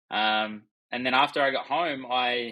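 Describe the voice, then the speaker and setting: This man's intonation is monotone and flat. He has an Australian accent. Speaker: accountant. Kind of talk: casual chat.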